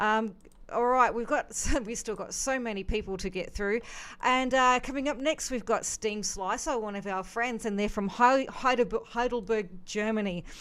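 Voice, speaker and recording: A woman with an Australian accent, her pitch fairly high with ordinary variation, at a moderate pace. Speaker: music reaction show host. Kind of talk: live stream music commentary. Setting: live stream.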